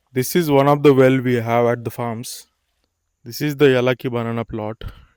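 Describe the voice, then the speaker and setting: With an Indian accent, a man talks at a fairly quick pace and medium pitch. His intonation stays fairly even. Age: 20s. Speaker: farmer. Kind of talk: casual talk to camera. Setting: outdoors.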